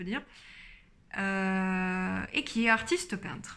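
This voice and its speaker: A woman speaks at a fairly slow pace. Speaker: book YouTuber. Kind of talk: casual book review vlog. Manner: many hesitations (euh). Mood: calm, engaged. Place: home room. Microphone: phone near.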